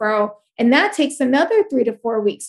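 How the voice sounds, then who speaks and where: A woman's voice with lively intonation. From New York, Puerto Rican family. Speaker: life coach and speaker. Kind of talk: casual interview. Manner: loud.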